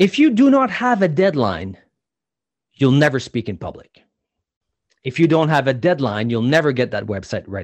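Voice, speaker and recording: Speaking at a moderate pace with long, frequent pauses, a man with a fairly high voice lets his pitch swing very widely. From New Brunswick, Canada. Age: 40s. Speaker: public speaking coach. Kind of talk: interview.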